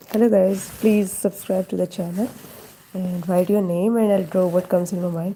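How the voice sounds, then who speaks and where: A woman's medium-pitched voice with flat, monotone intonation. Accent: Indian. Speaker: live-stream drawing host. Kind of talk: casual live stream chat. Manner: thinking aloud, hesitant.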